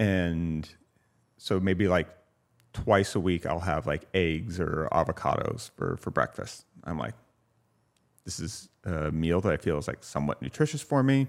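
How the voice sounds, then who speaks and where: In a very clean recording with a silent background, a man with an American accent speaks fairly slowly in a very deep, low voice, his intonation lively and his pauses long and frequent. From California. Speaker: designer. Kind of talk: casual chat. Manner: casual, filler-heavy speech.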